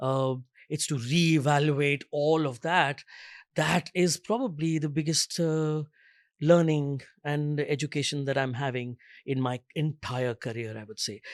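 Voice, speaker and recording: A man speaks at a fairly slow pace with a fairly high pitch and ordinary pitch variation in an unremarkable speaking voice, recorded very cleanly against a silent background with a dry, close sound and no echo. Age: 50s. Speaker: theatre director and actor. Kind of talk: panel discussion.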